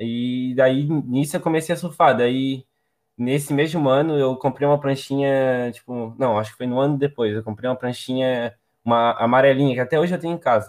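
A man's unremarkable speaking voice at medium pitch, with fairly even intonation and a moderate pace. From Santa Catarina, Brazil (Palmas, near Florianópolis). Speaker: surfer. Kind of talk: casual chat.

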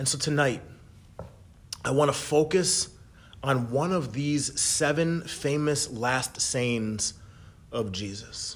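There is noticeable background noise as a man with a fairly high pitch talks at a very slow pace, using ordinary pitch variation and long, frequent pauses. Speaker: worship leader. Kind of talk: Good Friday meditation and prayer, read aloud. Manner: slow, hushed and reverent, fervent; gentle, measured, with long pauses.

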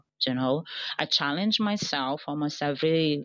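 With a Portuguese accent, a woman speaks in a very deep, low pitch at a fairly slow pace. Her pitch varies in an ordinary way, and the background is quiet. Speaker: digital marketing strategist. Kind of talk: interview.

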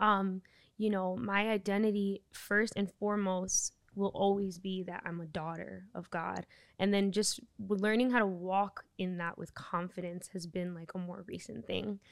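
At a moderate pace and medium pitch, a woman with an unremarkable speaking voice talks on a very clean recording with a silent background. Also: fairly even intonation. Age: 30s. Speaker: church member, faith podcast guest. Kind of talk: casual chat.

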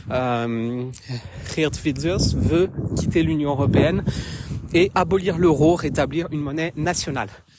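A woman's very deep, low voice, very slow with long, frequent pauses and ordinary pitch variation, amid noticeable background noise. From France. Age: 30s. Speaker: podcaster. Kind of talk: personal commentary monologue. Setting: outdoors, walking in woods.

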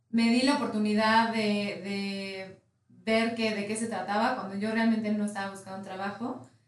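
In a room with audible echo, a woman speaks at a medium pitch and a fairly slow pace with monotone, flat intonation. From Mexico. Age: 20s. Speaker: company country manager. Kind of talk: interview.

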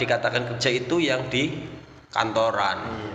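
A man speaks at a fairly slow pace in a Banyumasan accent. His pitch varies in an ordinary way, and there is noticeable background noise. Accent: Javanese ngapak (Banyumasan) Indonesian. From Banyumas region, Central Java. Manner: animated, jokey, laughs often.

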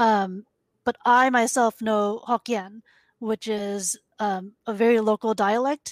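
This woman has an unremarkable speaking voice with an American accent, pitched fairly high. Her intonation is fairly even, and the recording is very clean with a silent background. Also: dry, close sound with no echo. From US. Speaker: games industry communications manager. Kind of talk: casual chat.

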